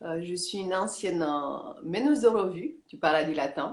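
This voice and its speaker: A woman with a fairly low pitch speaks at a very slow pace with lively intonation. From Romania. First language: Romanian (speaking French). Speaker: yoga teacher. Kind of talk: interview. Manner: halting, many hesitations.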